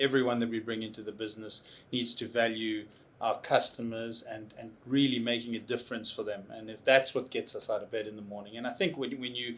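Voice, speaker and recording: Man with a South African accent at medium pitch, fairly quick pace, monotone and flat intonation, and big swings in loudness. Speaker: tech consultancy CEO. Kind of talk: interview. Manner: halting.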